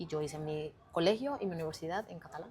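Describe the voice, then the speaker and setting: A woman with a Colombian accent speaks in a fairly low pitch. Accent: Colombian accent, kept deliberately. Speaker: communicator and personal brand expert. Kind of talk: interview. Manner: halting.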